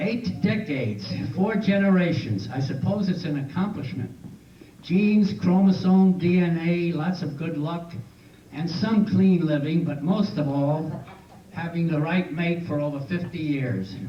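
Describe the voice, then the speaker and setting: Amid noticeable background noise and audible room echo, a high-pitched man talks fairly slowly. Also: ordinary pitch variation. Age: 80s+. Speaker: birthday celebrant. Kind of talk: reading aloud. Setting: birthday party with audience.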